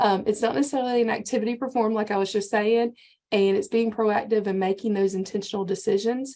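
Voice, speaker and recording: A woman with a Georgia accent talks at a very fast pace in a dark, mellow tone, keeping her loudness very even and her intonation fairly even. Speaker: county extension agent, workshop presenter. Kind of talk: lecture.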